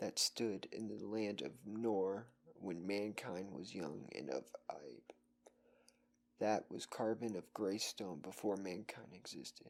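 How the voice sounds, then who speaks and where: Speaking very slowly, this person has a soft-spoken delivery. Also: man, ordinary pitch variation. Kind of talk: horror story reading.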